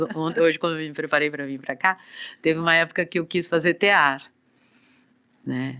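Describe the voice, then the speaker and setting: A woman speaks at a moderate pace in a very deep, low pitch with a bright, sharp tone and fairly even intonation. She takes long, frequent pauses on a very clean recording with a silent background. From Brazil, São Paulo coast (Santos region). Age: 60s. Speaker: dancer and body therapist. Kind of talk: podcast interview.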